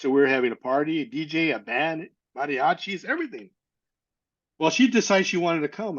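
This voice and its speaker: A man's fairly high-pitched voice with an American accent. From Northern California. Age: 60s. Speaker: adoptee sharing life story. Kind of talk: testimony. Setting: podcast interview. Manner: halting.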